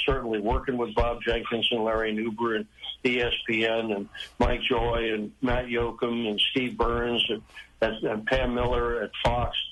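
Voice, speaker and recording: The voice holds a monotone, flat intonation at a moderate pace. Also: man. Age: 80s+. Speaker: retired motorsports TV pit reporter. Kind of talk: interview.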